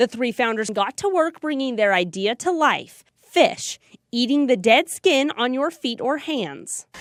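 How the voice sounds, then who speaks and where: A woman with a high pitch and lively intonation speaks fairly slowly in a very clean recording with a silent background. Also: dry, close sound with no echo. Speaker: TV news reporter. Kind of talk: studio interview answer and feature package narration.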